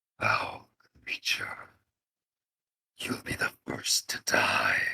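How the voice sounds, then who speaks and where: A growling, put-on character voice moves at a very slow pace with an extremely high pitch. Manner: menacing, threatening.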